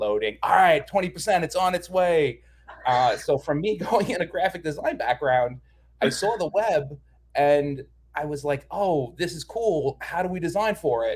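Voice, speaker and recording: This man talks with a high pitch and lively intonation. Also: moderate pace. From New York. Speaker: design manager. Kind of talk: interview explanation.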